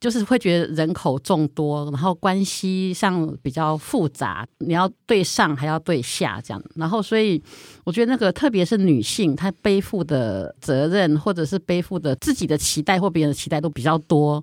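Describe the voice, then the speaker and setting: Recorded very cleanly against a silent background, a woman with a plain, everyday voice speaks at a moderate pace and fairly low pitch, with lively intonation, hardly any pauses, and a dry, close sound with no echo. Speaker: writer and editor. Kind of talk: casual chat.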